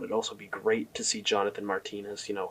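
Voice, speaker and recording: A quiet man talks at a very fast pace. Noticeable background noise runs under his voice. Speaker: MMA commentary youtuber. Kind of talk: casual commentary monologue. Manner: casual, halting with fillers.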